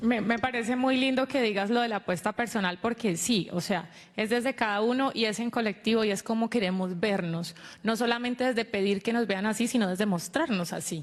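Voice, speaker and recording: At a fairly quick pace, a woman with an ordinary speaking voice and fairly high pitch keeps very even loudness and ordinary pitch variation in a very clean recording with a silent background. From Colombia, Cauca (Santander de Quilichao). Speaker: TV host. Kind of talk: panel discussion.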